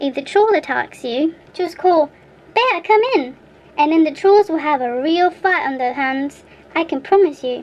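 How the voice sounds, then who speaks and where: A woman speaks in a put-on character voice with a high pitch. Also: moderate pace. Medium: read story. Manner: grunting, gruff.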